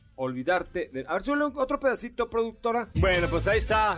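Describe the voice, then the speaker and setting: A man speaks at a fairly quick pace. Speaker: radio host. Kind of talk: live radio show, casual chat. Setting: radio studio.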